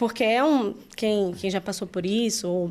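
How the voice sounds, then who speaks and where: This woman's voice sits fairly high in pitch. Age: 30s. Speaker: church worship leader. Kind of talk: testimony. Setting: studio.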